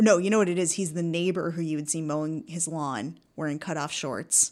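In a normal speaking voice with an American accent, a woman with fairly low pitch talks at a moderate pace with fairly even intonation, recorded very cleanly against a silent background. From United States. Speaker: sketch comedian. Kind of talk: casual chat.

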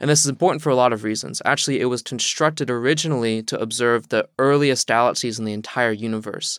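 On a very clean recording with a silent background and a dry, close sound with no echo, a man with an American accent speaks at a very fast pace, with medium pitch and fairly even intonation. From US South, southeast Virginia. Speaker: astrophysics student. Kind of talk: interview.

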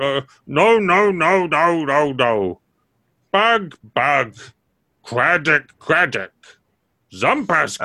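Using a put-on character voice, a man speaks at a very slow pace in a fairly high pitch, with long, frequent pauses. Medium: actual play. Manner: broken, repetitive speech.

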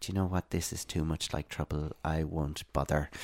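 With an Irish accent, a man speaks at a very deep, low pitch, the sound dry and close with no echo on a very clean recording over a silent background. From Ireland, west (Ballinasloe) and Dublin. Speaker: blind advocate. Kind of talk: interview. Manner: halting, many fillers.

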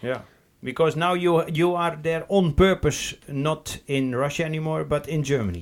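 Speaking with a Dutch accent, a man uses a fairly high pitch and fairly even intonation. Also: moderate pace. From Netherlands. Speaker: podcast co-host, assistive technology worker. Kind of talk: casual chat.

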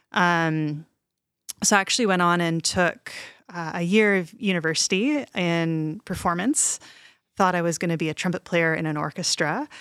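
A woman with a plain, everyday voice, fairly low in pitch, ordinary pitch variation and a moderate pace, on a very clean recording with a silent background. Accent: Canadian. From Canada (Montreal and Toronto). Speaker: composer and music professor. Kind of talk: interview.

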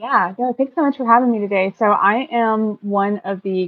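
The woman has an unremarkable speaking voice. She keeps a moderate pace with ordinary pitch variation. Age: 40s. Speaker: podcast guest. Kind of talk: casual chat.

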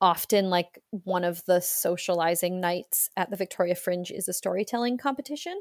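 A woman with a Canadian accent speaks at a moderate pace and medium pitch with ordinary pitch variation, in a plain, everyday voice. The sound is dry and close with no echo. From rural British Columbia, Canada. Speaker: theatre creator and storyteller. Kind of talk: casual interview. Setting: remote call.

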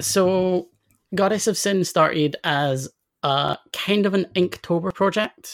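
Speaking very slowly in a Scottish accent, a woman keeps her loudness very even and her pitch variation ordinary, on a very clean recording with a silent background and a dry, close sound with no echo. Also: medium pitch for a woman. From Scotland, near Edinburgh. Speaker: comics critic and poet. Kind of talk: casual chat.

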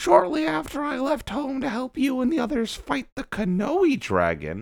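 A man's put-on character voice at an extremely high pitch and a moderate pace. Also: lively intonation. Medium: read story. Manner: earnest, dramatic.

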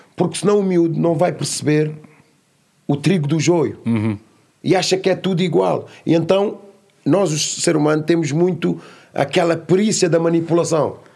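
This man has a high pitch and a dark, mellow tone, with ordinary pitch variation and very even loudness at a moderate pace. He leaves long, frequent pauses, and the recording is very clean with a silent background. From Lisbon area, Portugal (Amadora), born in São Tomé. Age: adult. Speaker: youth educator, founder of a youth academy. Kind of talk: casual interview.

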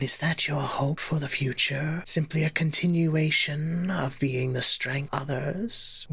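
A put-on character voice at a middle pitch. It runs on with hardly any pauses. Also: fairly slow pace. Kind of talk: fantasy creature roleplay. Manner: calm, probing, questioning.

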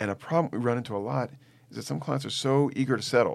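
A man talking at a very fast pace. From New Orleans, Louisiana. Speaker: family law attorney. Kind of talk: interview conversation.

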